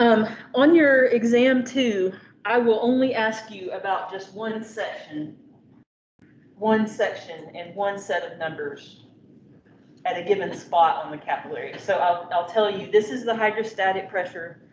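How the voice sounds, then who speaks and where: A woman's fairly high pitch at a fairly slow pace, with lively intonation and big swings in loudness, amid audible room echo and noticeable background noise. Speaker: biology professor. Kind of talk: lecture.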